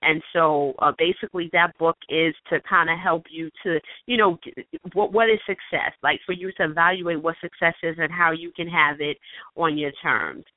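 In a plain, everyday voice, a woman with a fairly low pitch talks at a moderate pace with fairly even intonation. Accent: American. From New York. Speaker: author and self-publishing coach. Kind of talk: radio interview. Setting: phone call.

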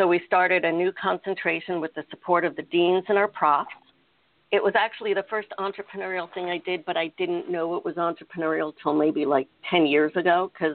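A woman with a normal speaking voice, fairly low in pitch, at a fairly quick pace with fairly even intonation. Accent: American. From United States. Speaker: innovation and strategy consultant. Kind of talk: interview.

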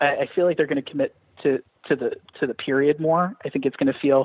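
Dry and close with no echo, a man talks fairly quickly in a normal speaking voice at a fairly high pitch. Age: 30s. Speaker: comic book writer. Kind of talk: interview.

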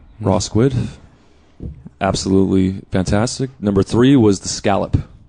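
With a Californian accent, a man speaks in a dark, mellow tone at a fairly low pitch with ordinary pitch variation. He pauses often and at length. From Los Angeles South Bay, California. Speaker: music producer and mastering engineer. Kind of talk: casual chat.

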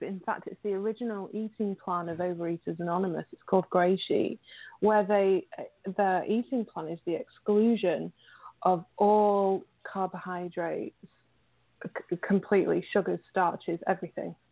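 A woman with a British accent speaks at a medium pitch, her loudness swinging widely. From England. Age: 30s. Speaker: recovery advocate and writer. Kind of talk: interview. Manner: halting.

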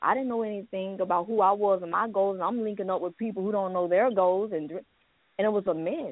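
Here is a woman with an ordinary speaking voice at medium pitch. She talks at a fairly quick pace. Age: 40s. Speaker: author and pastor. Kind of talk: testimony.

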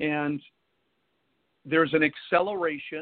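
A man talks at a fairly slow pace. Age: 50s. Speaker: pastor and radio host. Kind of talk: sermon. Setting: live radio broadcast with call-ins.

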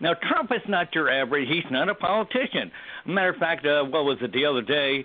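Keeping a very even loudness, a man talks at a fairly quick pace with a fairly high pitch and lively intonation. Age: 60s. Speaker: caller. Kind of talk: heated debate. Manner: animated.

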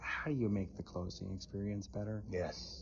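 A somewhat breathy man's voice, fairly low in pitch. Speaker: economist. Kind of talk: interview, professional conversation. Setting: in person at conference.

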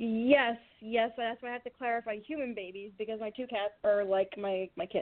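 She has an unremarkable speaking voice at a fairly high pitch. Her pace is moderate and her intonation fairly even. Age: 20s. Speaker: podcast co-host. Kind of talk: casual chat.

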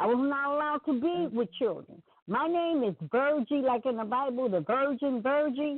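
A woman with a high pitch talks at a moderate pace, her loudness very even and her pitch variation ordinary. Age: 50s. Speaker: caller. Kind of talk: casual chat.

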